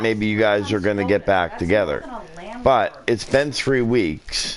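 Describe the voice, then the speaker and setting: With noticeable background noise behind him, a man talks at a medium pitch and ordinary pitch variation. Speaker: parent. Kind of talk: casual chat. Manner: loud.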